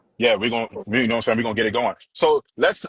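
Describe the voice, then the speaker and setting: A man with an American accent. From Charlotte, US South. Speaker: radio DJ and interviewer. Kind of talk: interview. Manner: casual.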